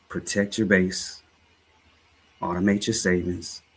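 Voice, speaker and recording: A man with a very deep, low voice speaks at a fairly slow pace in a flat monotone, with a slight Southern US accent. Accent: slight Southern drawl. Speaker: life and finance coach, livestream host. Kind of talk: livestream talk, motivational finance commentary. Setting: live stream.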